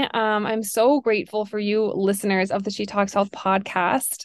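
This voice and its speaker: A woman talks at a moderate pace in an unremarkable speaking voice. Her pitch is fairly high. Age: 30s. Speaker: functional health coach and podcast host. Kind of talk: casual solo podcast monologue.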